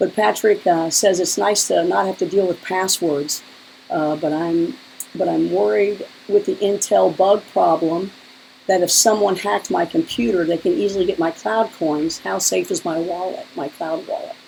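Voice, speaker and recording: A woman speaks at a moderate pace while background noise is noticeable. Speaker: live stream host. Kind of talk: live stream interview with viewer Q&A.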